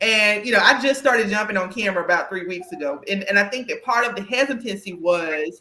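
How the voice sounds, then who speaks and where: A woman with a slight Southern US accent speaks at a very fast pace, with hardly any pauses. Her medium pitch carries an animated tone and lively intonation. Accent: slight Southern country twang. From US South. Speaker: podcast host and career coach. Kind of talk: casual interview chat. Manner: animated, with frequent restarts.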